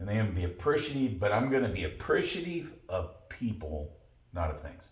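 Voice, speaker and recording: Audible room echo surrounds a man with a fairly low pitch and a somewhat breathy voice. He speaks at a fairly quick pace with very wide pitch swings. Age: 60s. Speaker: podcast co-host. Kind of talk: casual chat.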